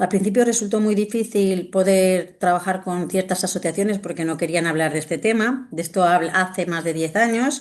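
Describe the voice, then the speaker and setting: A woman's voice, at a moderate pace and with ordinary pitch variation, comes through against a quiet background. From Spain, Valencia. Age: 50s. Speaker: doctor and sexologist. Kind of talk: interview. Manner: hesitant, with many fillers.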